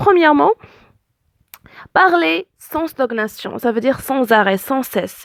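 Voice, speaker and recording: A woman with an Arabic accent, high-pitched and fairly slow, with very wide pitch swings and a dry, close sound with no echo. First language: Arabic (speaking French). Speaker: language teacher. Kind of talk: tutorial. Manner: hesitant, many fillers.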